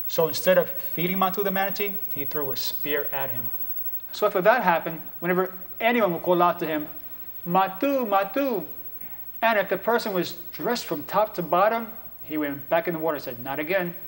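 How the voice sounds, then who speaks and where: A man's high-pitched voice at a fairly quick pace, with lively intonation. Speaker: storyteller and motivational speaker. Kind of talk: storytelling, folk tale told to an audience. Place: studio.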